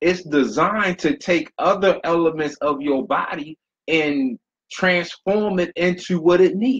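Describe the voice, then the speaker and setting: A man talks fairly slowly with lively intonation. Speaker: motivational speaker. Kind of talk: motivational talk. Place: home room. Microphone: webcam.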